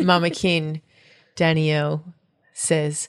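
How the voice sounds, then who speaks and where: A woman with an Australian accent speaks very slowly at a fairly low pitch. The background is quiet. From Australia, Perth. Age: 30s. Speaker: folk singer and period educator. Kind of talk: casual interview. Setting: at home in a loft.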